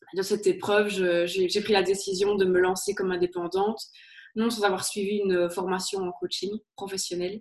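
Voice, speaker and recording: Her pace is fairly slow. The woman's intonation stays monotone and flat. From Belgium, Liège. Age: 30s. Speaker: HR consultant and career coach. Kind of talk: interview.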